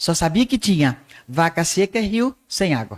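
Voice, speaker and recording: A woman speaks at a fairly slow pace, her pitch medium and swinging very widely. The sound is dry and close, with no echo. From Northeast Brazil, Patos, Paraíba. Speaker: arts teacher and radio broadcaster. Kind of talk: podcast interview.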